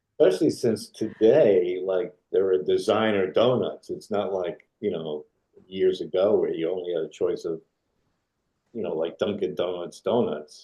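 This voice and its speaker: A man speaks in a New York accent. He keeps a moderate pace. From New York, Brooklyn. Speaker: retired film still photographer. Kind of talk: interview. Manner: mumbling.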